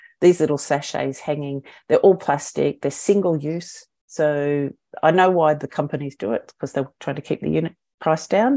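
A woman's very deep, low voice with a dark, mellow tone and an Australian accent, with ordinary pitch variation and a moderate pace in a very clean recording with a silent background. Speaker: eco brand founder. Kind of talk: podcast interview.

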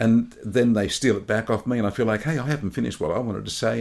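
The voice moves at a very fast pace with lively intonation and vocal fry. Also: man. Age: 60s. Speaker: podcast co-host. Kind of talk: casual chat.

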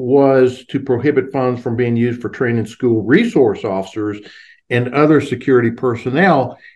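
In an unremarkable speaking voice, a man talks at a medium pitch and a moderate pace. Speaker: wildlife biologist and industry advocate. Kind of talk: interview.

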